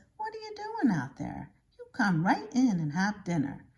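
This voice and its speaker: Using a put-on character voice, a woman talks at a medium pitch with big swings in loudness. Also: moderate pace. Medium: read story. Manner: hearty, playful.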